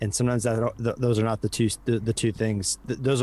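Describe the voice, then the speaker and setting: A man speaks with a Midwestern American accent. His pace is fairly quick. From US Midwest. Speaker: advertising professional and podcast co-host. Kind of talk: interview conversation.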